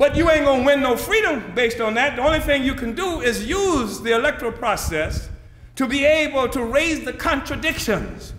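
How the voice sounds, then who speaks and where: In a room with audible echo and noticeable background noise, a man talks in an animated tone at an extremely high pitch with ordinary pitch variation. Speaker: political movement leader. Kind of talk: political speech. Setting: conference audience. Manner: fast.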